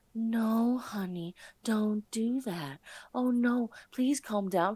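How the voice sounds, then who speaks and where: A put-on character voice from a woman, fairly high in pitch, at a very slow pace with ordinary pitch variation. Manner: weak, pleading, placating.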